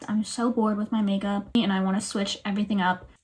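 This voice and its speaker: A woman with a fairly high pitch over noticeable background noise. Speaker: beauty vlogger. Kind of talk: makeup tutorial. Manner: casual, chatty.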